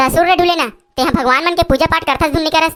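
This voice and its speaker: In a cartoonish character voice with an extremely high pitch, a woman races along at a very fast pace, with ordinary pitch variation and very even loudness. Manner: teasing, bantering.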